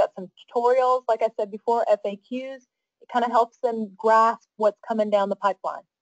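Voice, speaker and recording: Her voice is a plain, everyday voice, with a fairly high pitch at a moderate pace. The woman's sound is dry and close, with no echo. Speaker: council staff presenter. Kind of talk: webinar presentation.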